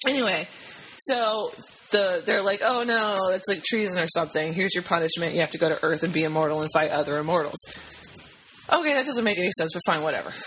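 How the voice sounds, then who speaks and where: Against noticeable background noise, a woman of medium pitch speaks very fast with lively intonation. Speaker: podcast co-host. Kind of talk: casual chat.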